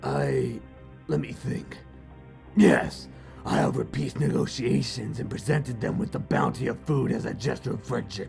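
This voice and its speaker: A man does a raspy, cartoonish character voice at a moderate pace, with clear music in the background. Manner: gruff, impatient.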